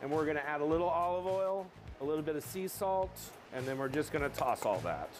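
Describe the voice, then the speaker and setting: Faint music plays in the background. A man speaks with ordinary pitch variation. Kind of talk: cooking tutorial. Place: kitchen.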